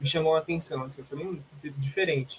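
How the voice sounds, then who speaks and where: A man talks in an unremarkable speaking voice at a fairly high pitch. His pitch varies in an ordinary way. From Brazil, Osasco (greater São Paulo). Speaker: philosophy student and social media content creator. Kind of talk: casual interview.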